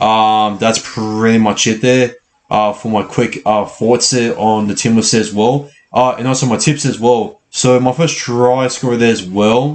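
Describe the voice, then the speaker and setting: Speaking with an Australian accent, a man talks at a medium pitch, fairly slowly, with fairly even intonation. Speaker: sports channel host. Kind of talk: live match reaction. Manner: halting, many fillers and repeats.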